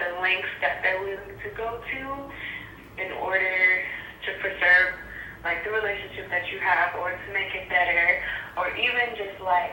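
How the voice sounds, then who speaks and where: A woman of medium pitch with fairly even intonation, at a moderate pace with long, frequent pauses, against noticeable background noise. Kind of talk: voice message.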